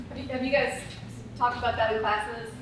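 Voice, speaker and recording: A woman talks at a fairly high pitch. Noticeable background noise and audible room echo surround her voice. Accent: American. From Wisconsin. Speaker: conference co-presenter. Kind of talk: conference presentation. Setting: classroom presentation with audience.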